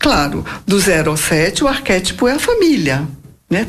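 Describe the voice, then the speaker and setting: A woman speaks at a fairly slow pace. Her voice carries audible room echo along with noticeable background noise. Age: 60s. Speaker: biographical counselor. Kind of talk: interview. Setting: live internet radio talk show.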